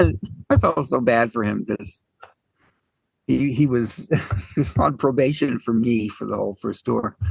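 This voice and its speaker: At a fairly slow pace, a man speaks with lively intonation at a medium pitch, the sound dry and close with no echo. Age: 60s. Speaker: jazz pianist and keyboard player. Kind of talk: casual interview conversation. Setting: podcast interview.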